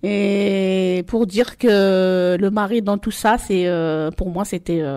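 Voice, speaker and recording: Fairly even intonation and a dark, mellow tone from a woman with a medium-pitched voice. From Marseille, La Castellane. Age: 40s. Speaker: mother giving testimony. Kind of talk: testimony. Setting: public event in Marseille. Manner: halting.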